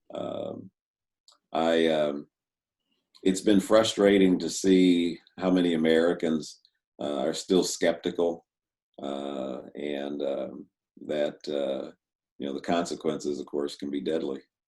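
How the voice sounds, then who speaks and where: Very slow and broken by long, frequent pauses, the speech has a dark, mellow tone and fairly even intonation. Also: man, very deep, low pitch for a man. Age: 60s. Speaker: retired university president. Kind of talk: casual chat. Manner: halting, many fillers.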